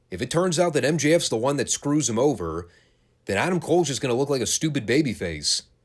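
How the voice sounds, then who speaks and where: Fairly high in pitch, a man talks at a fairly quick pace with very wide pitch swings. Vocal fry comes through in a very clean recording with a silent background. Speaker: wrestling podcast host. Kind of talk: podcast review commentary. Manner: opinionated, ranting.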